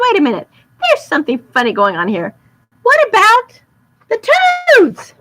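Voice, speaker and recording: A squeaky, put-on character voice at a moderate pace, broken by long, frequent pauses. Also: woman, extremely high pitch for a woman. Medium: read story.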